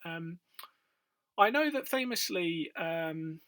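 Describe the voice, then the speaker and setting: Speaking with a British accent, a man has a bright, sharp tone and a fairly high pitch with ordinary variation. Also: very clean recording, silent background. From UK. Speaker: quiz video creator. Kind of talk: casual quiz commentary. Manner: hesitant, many fillers.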